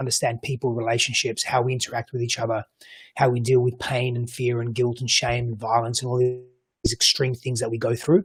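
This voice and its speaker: With an Australian accent, a man talks fairly quickly at medium pitch. His voice is somewhat breathy. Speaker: coach and psychology practitioner. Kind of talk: panel discussion. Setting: virtual roundtable. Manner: halting, many repeated words.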